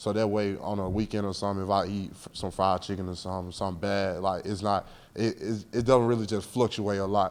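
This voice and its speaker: A man speaks quietly at a fairly quick pace with hardly any pauses, his fairly low voice held in a monotone, flat intonation. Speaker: college football player. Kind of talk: press interview. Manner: laid back, quiet.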